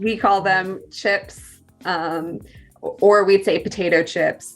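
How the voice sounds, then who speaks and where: A woman with a General American accent, very slow pace, medium pitch, fairly even intonation, and music in the background. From California. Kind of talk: casual conversation on a video call.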